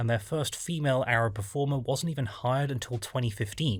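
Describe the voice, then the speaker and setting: A man with a medium pitch speaks very fast in a somewhat breathy voice. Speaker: film reviewer. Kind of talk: video essay narration.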